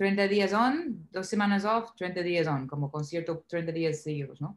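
In a very clean recording with a silent background, a woman with a medium pitch speaks at a fairly slow pace with lively intonation. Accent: English. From US South, Nashville. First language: English (speaking Spanish). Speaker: singer. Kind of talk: interview.

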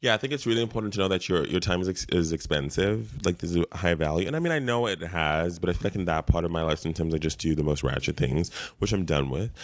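A man with a very deep, low voice and vocal fry talks at a very fast pace with lively intonation over a quiet background. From South Africa. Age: 30s. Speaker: podcast co-host. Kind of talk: casual chat.

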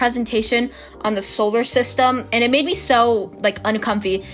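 The voice has an animated tone, ordinary pitch variation and a moderate pace, with noticeable background noise behind it. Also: woman. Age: young. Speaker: student podcaster. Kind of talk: casual monologue. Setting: bedroom.

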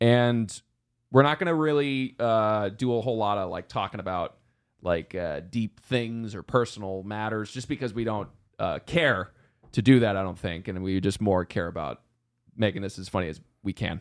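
In a very clean recording with a silent background, a man talks at a moderate pace in a fairly low pitch. He has an ordinary speaking voice with ordinary pitch variation. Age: 20s. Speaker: podcast co-host. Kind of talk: casual chat.

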